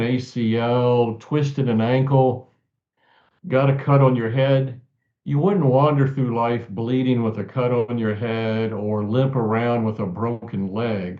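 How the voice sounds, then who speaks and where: In a normal speaking voice, a man with an American accent talks at a fairly slow pace with medium pitch and fairly even intonation. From central Virginia. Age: 60s. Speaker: author and abuse survivor advocate. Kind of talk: interview.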